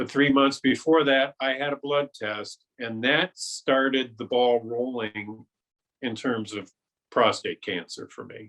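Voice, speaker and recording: A man talks fairly slowly in an ordinary speaking voice at medium pitch, with ordinary pitch variation and big swings in loudness. The sound is dry and close, with no echo. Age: 60s. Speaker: cancer survivor. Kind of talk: interview testimony.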